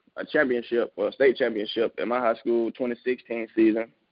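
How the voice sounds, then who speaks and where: A man's medium-pitched voice with a Southern US accent. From Mississippi. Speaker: football prospect. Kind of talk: interview.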